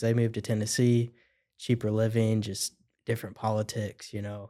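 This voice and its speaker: A man with a Midwestern US accent speaks at medium pitch in a dark, mellow tone. His intonation is monotone and flat, on a very clean recording with a silent background. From central Illinois. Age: 20s. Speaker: plumbing business owner. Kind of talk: casual chat.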